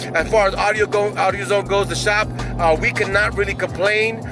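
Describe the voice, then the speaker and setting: A man talks in a raised, projected voice. The sound is dry with no echo, and clear music plays in the background. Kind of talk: casual vlog chat. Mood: motivational, upbeat. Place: car. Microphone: phone near.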